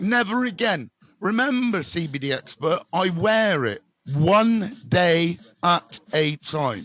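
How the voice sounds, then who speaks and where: A loud man with a West Country accent, high in pitch, with very wide pitch swings. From Bristol, England. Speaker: recovery mentor. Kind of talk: live stream chat. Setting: live stream. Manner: animated.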